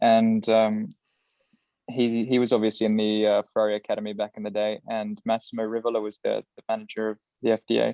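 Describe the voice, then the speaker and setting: A man at a fairly quick pace, medium in pitch, with monotone, flat intonation. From New Zealand. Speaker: racing driver. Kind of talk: casual chat.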